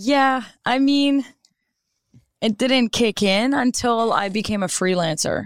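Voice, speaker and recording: A woman speaks very slowly at a fairly high pitch, her loudness very even and her pitch varying in an ordinary way, on a very clean recording with a silent background. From Maritime Canada (Moncton, New Brunswick), Acadian. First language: French. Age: 30s. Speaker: commercial photographer. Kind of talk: casual interview. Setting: studio.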